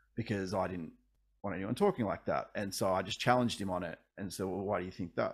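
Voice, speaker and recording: A man with an Australian accent at a very fast pace and fairly low pitch, on a very clean recording with a silent background. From Australia, regional Victoria (Ballarat). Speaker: singer-songwriter. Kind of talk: casual interview.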